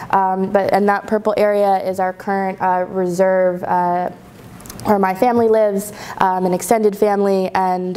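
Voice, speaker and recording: The intonation is monotone and flat. A woman talks at a moderate speed. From Long Island, New York (Shinnecock Nation); New York. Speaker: researcher; guest lecturer. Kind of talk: lecture. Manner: halting, frequent fillers. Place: classroom.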